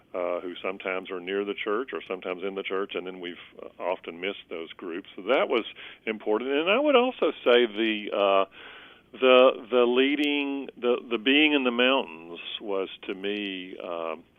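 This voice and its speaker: This man has a fairly low voice and a Southern US accent. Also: ordinary pitch variation, moderate pace. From US South, Columbus, Georgia. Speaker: bishop. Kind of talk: interview. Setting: podcast. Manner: halting, many fillers.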